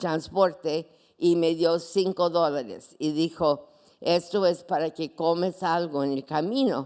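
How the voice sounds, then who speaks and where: Ordinary pitch variation from a woman at a fairly low pitch, delivered at a very slow pace. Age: 80s+. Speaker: pastor. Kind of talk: sermon.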